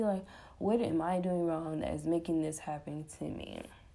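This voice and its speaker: The tone is dark and mellow, and the pace is moderate. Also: woman. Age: 20s. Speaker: podcaster. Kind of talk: casual solo monologue. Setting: at home, sitting on floor.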